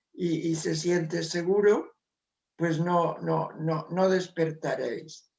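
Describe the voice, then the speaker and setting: A high-pitched man's voice, monotone and flat in intonation, at a very slow pace. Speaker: spiritual author. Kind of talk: interview.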